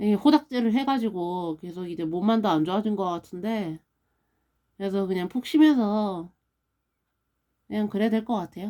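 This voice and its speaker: At a moderate pace, a woman talks in a medium pitch with ordinary pitch variation and long, frequent pauses. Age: 30s. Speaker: stroke survivor vlogger. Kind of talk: casual vlog monologue.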